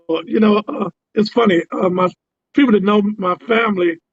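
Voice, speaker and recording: A man speaks at a high pitch with ordinary pitch variation. Music plays in the background. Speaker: musician and producer. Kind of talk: interview. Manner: hesitant, many fillers.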